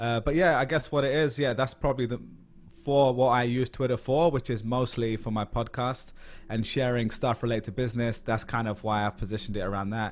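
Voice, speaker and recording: In a London accent, a man speaks at a fairly quick pace with a medium pitch and fairly even intonation, on a very clean recording with a silent background. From London, England. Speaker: podcast host, interview guest. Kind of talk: interview. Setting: call. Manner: casual, many fillers.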